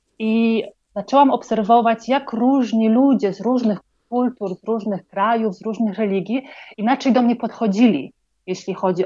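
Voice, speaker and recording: A woman's fairly high, dark, mellow voice at a moderate pace, with ordinary pitch variation, big swings in loudness and a quiet background. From Poland. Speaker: psychologist and project founder. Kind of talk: interview. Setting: online call from Colombia.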